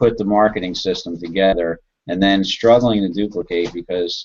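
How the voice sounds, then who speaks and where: With an American accent, a man uses an ordinary speaking voice, fairly low in pitch and fairly even in intonation. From New Jersey. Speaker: online marketer. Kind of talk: sales pitch. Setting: video call.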